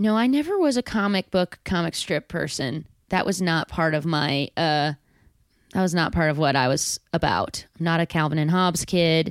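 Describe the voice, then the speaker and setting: A woman with an unremarkable speaking voice talks at a moderate pace, her pitch fairly low with ordinary variation and her loudness very even, in a dry, close sound with no echo on a very clean recording against a silent background. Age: 30s. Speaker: actor and improviser. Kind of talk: casual chat.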